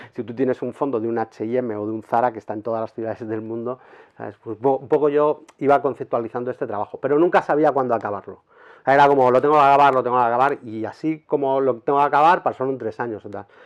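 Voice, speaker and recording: Speaking very fast, a man talks. His pitch is medium. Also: ordinary pitch variation. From Spain, Madrid. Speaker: street photographer. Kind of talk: interview. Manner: halting.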